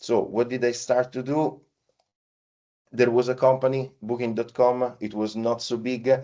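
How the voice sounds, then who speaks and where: With an Italian accent, a man talks at a moderate pace and a medium pitch. His tone is dark and mellow, over a quiet background. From Italy. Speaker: payments partnership lead. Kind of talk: podcast interview. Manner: halting, many fillers.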